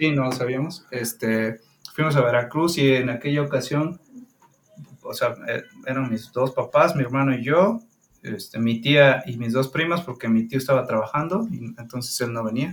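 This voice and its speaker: Medium pitch from a man in a plain, everyday voice, moderate in pace and with ordinary pitch variation. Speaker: podcast co-host. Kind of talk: casual chat.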